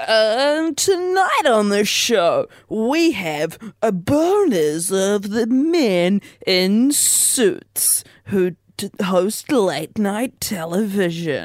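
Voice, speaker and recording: A fairly high, put-on character voice at a very slow pace. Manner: put-on, strange host voice.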